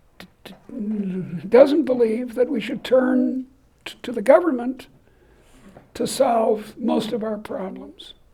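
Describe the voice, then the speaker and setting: Against noticeable background noise, a woman with a high pitch speaks at a fairly slow pace with fairly even intonation. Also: long, frequent pauses, big swings in loudness. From Boston. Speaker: economics professor. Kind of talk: lecture.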